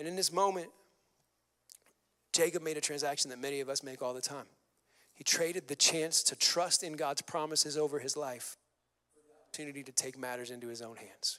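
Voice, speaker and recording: Bright and sharp in tone, a man's fairly high voice moves at a fairly quick pace. He leaves long, frequent pauses. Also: ordinary pitch variation. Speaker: pastor. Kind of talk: sermon. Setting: church stage. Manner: fast.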